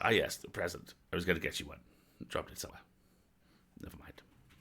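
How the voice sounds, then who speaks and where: A man rattles along at a very fast pace in a put-on character voice. It is raspy and very deep, low in pitch. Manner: pompous, disturbing.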